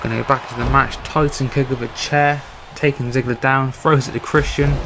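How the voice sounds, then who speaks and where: Male speech with a British accent, medium pitch, monotone and flat intonation, and a fairly quick pace over noticeable background noise. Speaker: gaming YouTuber doing wrestling commentary. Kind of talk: casual video commentary.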